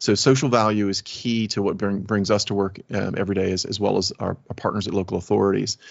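A man speaks very fast with a slight Southern US accent and vocal fry. His pitch is fairly low, and his intonation stays fairly even. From US South, Alabama. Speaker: technology executive. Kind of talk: interview conversation.

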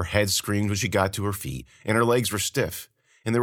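An unforced reading voice with fairly even intonation is heard over a quiet background.

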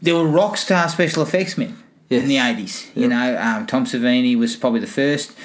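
Someone speaks at a fairly quick pace with an Australian accent. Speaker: movie podcast host. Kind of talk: casual chat. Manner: casual, joking, swears.

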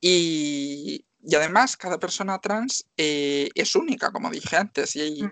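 With a normal speaking voice, a woman talks at a fairly low pitch with lively intonation and hardly any pauses, in a dry, close sound with no echo and a quiet background. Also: fairly slow pace. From Galicia, Spain (Marín, Pontevedra). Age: 20s. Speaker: X-ray technician and nursing student. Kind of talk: interview.

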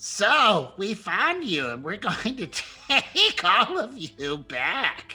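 A put-on character voice moves at a very slow pace with very wide pitch swings, and faint music plays in the background. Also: man, high pitch for a man. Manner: mocking.

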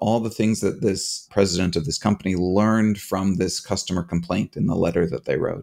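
He talks at a medium tempo with a fairly low pitch. His is a plain, everyday voice. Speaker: professor and podcast host. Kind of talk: casual chat.

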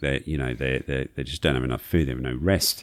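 On a very clean recording with a silent background, a man speaks at a very fast pace with vocal fry. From UK. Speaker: polar explorer and conservationist. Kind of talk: casual interview. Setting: studio.

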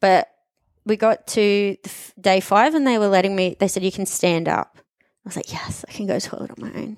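A woman with an Australian accent at a medium pitch, on a very clean recording with a silent background. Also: dry, close sound with no echo. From Australia, Queensland. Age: 30s. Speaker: journalist and fitness podcast guest. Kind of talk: casual interview. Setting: studio.

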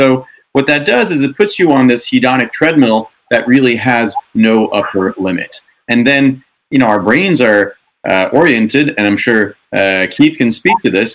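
Here a man has a plain, everyday voice at medium pitch. He talks at a moderate pace with lively intonation. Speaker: author and doctor. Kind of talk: panel discussion.

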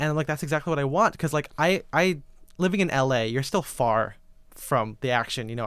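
Over a silent background on a very clean recording, a man with an American accent talks at a very fast pace. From Filipino-Chinese family, US. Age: 20s. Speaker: menswear writer and photographer. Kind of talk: casual chat.

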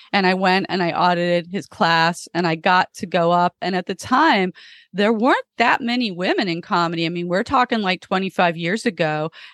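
A woman with an American accent talks in an ordinary speaking voice at a medium pitch and a moderate pace, with ordinary pitch variation. The sound is dry and close with no echo, over a quiet background. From Florida. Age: 50s. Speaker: comedian. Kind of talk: casual chat.

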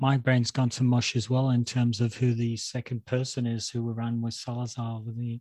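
Somewhat breathy and dark, mellow in tone, a man talks at a moderate pace and medium pitch with monotone, flat intonation and hardly any pauses. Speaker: podcast host. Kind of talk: casual interview chat.

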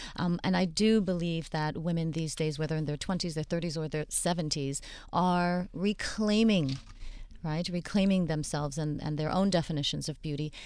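On a very clean recording with a silent background, a woman with a plain, everyday voice talks at a moderate pace and a fairly low pitch. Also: fairly even intonation. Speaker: plastic surgeon. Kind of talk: radio panel discussion. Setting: studio.

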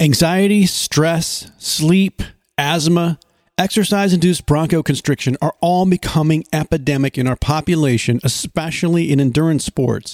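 In a dry, close recording with no echo, a man with a plain, everyday voice speaks at a moderate pace, his fairly high pitch showing ordinary variation and his loudness very even. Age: 50s. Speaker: podcast co-host. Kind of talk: scripted promo.

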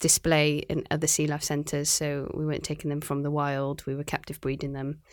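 At a moderate pace, a woman with a Cardiff accent speaks in a very clean recording with a silent background. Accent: Welsh (Cardiff). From Wales, Cardiff. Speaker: marine biologist, aquarium conservation manager. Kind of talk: interview.

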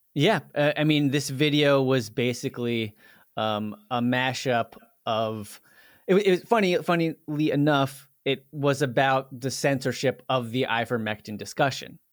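At a fairly slow pace, a man talks at a medium pitch in a plain, everyday voice. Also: ordinary pitch variation. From Washington, D.C. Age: 30s. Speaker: video creator. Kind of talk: casual interview conversation.

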